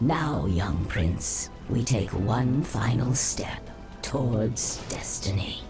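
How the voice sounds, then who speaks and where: Low in pitch, a put-on character voice creeps along at a very slow pace. Loud background noise fills the recording. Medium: short film. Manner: haughty, cold.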